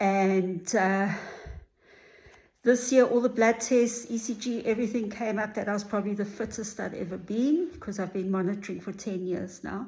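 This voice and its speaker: With ordinary pitch variation, a woman speaks in a dark, mellow, somewhat breathy tone. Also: medium pitch for a woman, moderate pace. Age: 60s. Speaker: vlogger sharing cancer journey. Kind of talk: personal video diary. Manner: casual with filler words.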